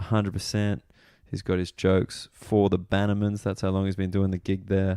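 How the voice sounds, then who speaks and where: A man with an Australian accent, very deep and low in pitch with a dark, mellow tone and monotone, flat intonation, in a dry, close, echo-free sound on a very clean recording with a silent background. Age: 20s. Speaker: comedian. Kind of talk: podcast intro monologue. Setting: waiting for a train late at night. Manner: quiet.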